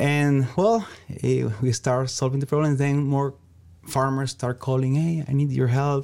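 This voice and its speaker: In a Venezuelan accent, the speaker talks at a moderate pace with a dark, mellow tone and very even loudness. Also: man, fairly high pitch for a man, fairly even intonation. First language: Spanish. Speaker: entrepreneur. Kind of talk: interview. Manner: halting.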